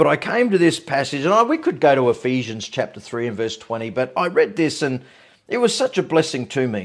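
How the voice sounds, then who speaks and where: The background is quiet. A man speaks at a moderate pace, his pitch swinging very widely. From Australia. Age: 50s. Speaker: pastor. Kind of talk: online evening devotional. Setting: livestream. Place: home room. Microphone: phone near.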